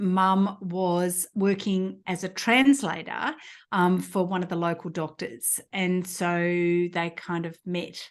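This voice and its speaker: A woman's fairly low voice at a very slow pace with hardly any pauses and fairly even intonation, against a quiet background. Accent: Australian. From rural New South Wales, Australia. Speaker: physiotherapist and entrepreneur. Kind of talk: interview. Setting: podcast. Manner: many filler words.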